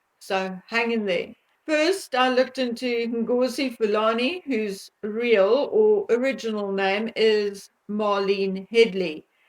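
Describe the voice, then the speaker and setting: In a South African accent, a woman with a fairly high voice and ordinary pitch variation speaks very slowly with hardly any pauses. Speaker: commentary vlogger. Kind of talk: monologue commentary vlog.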